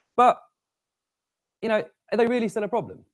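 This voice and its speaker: The speech comes at a very fast pace in a British accent. The sound is dry and close, with no echo. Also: man. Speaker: conference speaker. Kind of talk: tech talk.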